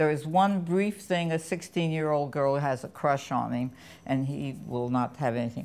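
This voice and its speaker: At a moderate pace and with ordinary pitch variation, the voice comes through on a very clean recording with a silent background. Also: woman. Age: 80s+. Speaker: film critic. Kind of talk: film review conversation.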